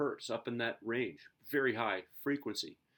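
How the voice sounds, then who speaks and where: A man talks at a moderate pace, and the recording is very clean with a silent background. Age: 60s. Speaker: high school physics teacher. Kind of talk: lecture. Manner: casual, halting with fillers.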